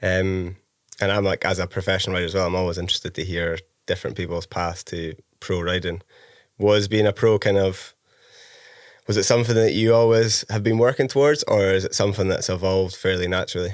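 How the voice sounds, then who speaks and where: The speech moves at a very fast pace with fairly even intonation, on a very clean recording with a silent background. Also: man, very deep, low pitch for a man. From Scottish Highlands. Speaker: podcast host and pro rider. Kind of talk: casual interview chat.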